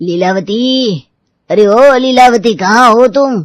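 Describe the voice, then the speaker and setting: Shouting loudly in a put-on character voice, a woman uses a fairly high pitch at a fairly slow pace. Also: ordinary pitch variation. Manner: loudly calling out, shouting.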